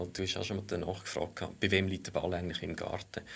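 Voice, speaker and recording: A man's fairly low-pitched voice with a slight Lucerne accent. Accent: Lucerne Swiss German dialect, slight. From Switzerland, Lucerne. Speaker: economic geographer. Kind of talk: casual discussion.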